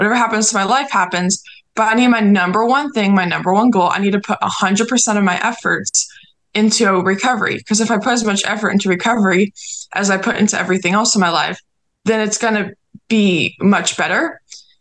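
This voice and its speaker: At a fairly quick pace, a woman speaks in an unremarkable speaking voice with very even loudness and ordinary pitch variation. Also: medium pitch for a woman. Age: young. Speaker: recovery advocate and podcast host. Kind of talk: casual chat.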